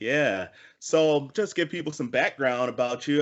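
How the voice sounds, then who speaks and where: In a normal speaking voice, a man talks fairly high-pitched at a moderate pace with ordinary pitch variation. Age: 40s. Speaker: talk show host. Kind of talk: casual interview.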